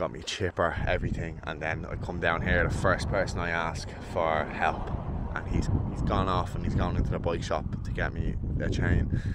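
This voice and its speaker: Loud background noise fills the clip, yet the sound is dry with no echo. The pace is moderate. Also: man. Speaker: touring cyclist vlogger. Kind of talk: casual vlog chat. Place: open country. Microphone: phone near.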